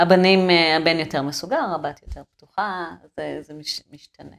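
Vocal fry runs through a woman's fairly low voice. She keeps a moderate pace and ordinary pitch variation. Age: 40s. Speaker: sculptor and art teacher. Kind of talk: casual interview conversation.

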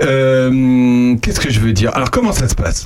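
Over noticeable background noise, a man talks at a moderate pace. His pitch is medium. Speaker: radio host. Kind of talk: casual chat. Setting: studio. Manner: animated.

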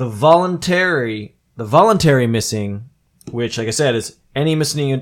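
The speaker has an unremarkable speaking voice. The intonation is lively and the pace moderate. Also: man. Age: 30s. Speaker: podcast host. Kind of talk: casual chat.

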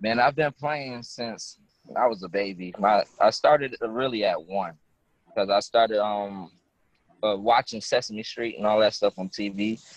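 A man with an American accent speaks in a normal speaking voice at medium pitch, with ordinary pitch variation. His pace is fairly slow, and the sound is dry and close, with no echo. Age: 20s. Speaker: musician. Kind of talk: casual interview. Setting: phone call.

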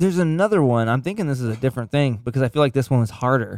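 Recorded very cleanly against a silent background, a man talks in a medium pitch with lively intonation. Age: 30s. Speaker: sound engineer. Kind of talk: casual chat. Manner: animated, laughing often.

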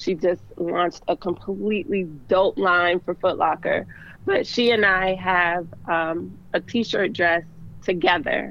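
A woman's medium-pitched, flat, monotone delivery with an American accent, at a very slow pace. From Baltimore, Maryland, US. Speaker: fashion designer. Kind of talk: interview.

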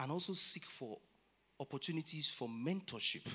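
Bright and sharp in tone, a man's voice sits fairly high in pitch. He keeps a moderate pace with lively intonation. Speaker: church speaker on careers. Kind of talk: sermon-style talk. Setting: church with audience. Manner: animated.

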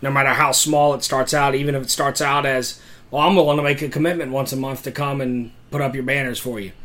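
Monotone, flat intonation at a fairly quick pace, with noticeable background noise. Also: man. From Tennessee. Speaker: pastor. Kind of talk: casual chat.

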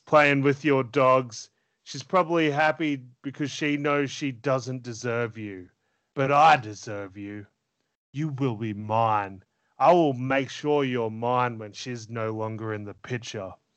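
A man's put-on character voice, menacing in tone, at a medium pitch and a fairly slow pace. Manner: menacing, creepy.

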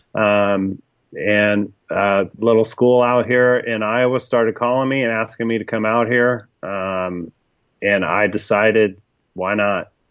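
A man with an American accent and an unremarkable speaking voice, at fairly low pitch and a fairly slow pace, with fairly even intonation. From US West Coast, Sacramento. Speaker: marketing and brand consultant, writer. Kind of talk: interview, casual chat. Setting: home basement.

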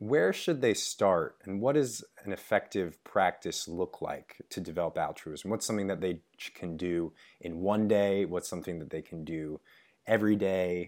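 A man talks at a moderate pace and a fairly low pitch, with ordinary pitch variation. It is a normal speaking voice. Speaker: podcast host. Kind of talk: interview conversation. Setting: video call.

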